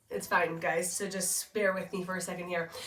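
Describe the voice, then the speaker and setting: Putting on a character voice, a woman speaks at a medium pitch and moderate pace in a raspy, strained tone with monotone, flat intonation. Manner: strained, struggling to talk.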